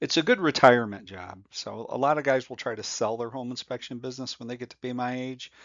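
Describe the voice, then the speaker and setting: Speech rushes at a very fast pace with hardly any pauses. Loudness swings widely, while the pitch varies in an ordinary way. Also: man, medium pitch for a man. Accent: American. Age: 60s. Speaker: home inspection instructor. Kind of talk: tutorial. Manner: casual, with many fillers.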